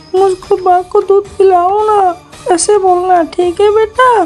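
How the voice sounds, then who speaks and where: A cartoonish character voice, female-sounding and extremely high, with monotone, flat intonation over clear background noise. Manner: coaxing, affectionate.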